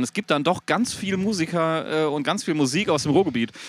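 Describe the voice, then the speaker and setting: Very rapid speech from a man with a fairly high voice. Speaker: podcast co-host. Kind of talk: casual chat. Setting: back room of a rock club before a concert.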